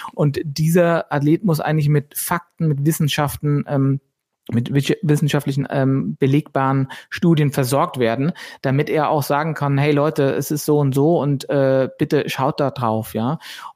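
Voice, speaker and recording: A man with an ordinary speaking voice talks at a fairly slow pace in a fairly high pitch, with fairly even intonation and very even loudness. The sound is dry and close with no echo on a very clean recording with a silent background. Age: 40s. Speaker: entrepreneur. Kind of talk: interview.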